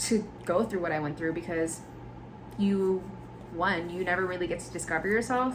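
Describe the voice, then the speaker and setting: A woman with an American accent, medium pitch, ordinary pitch variation and a moderate pace, with noticeable background noise and audible room echo. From US mainland, Indiana and South Carolina. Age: 20s. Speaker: podcast host. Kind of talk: casual monologue podcast. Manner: casual, filler-heavy.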